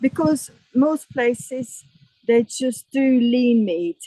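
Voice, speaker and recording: Speaking at a very slow pace, a woman with a high pitch shows ordinary pitch variation, the sound dry and close with no echo. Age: 60s. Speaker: van traveler. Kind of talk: interview answer.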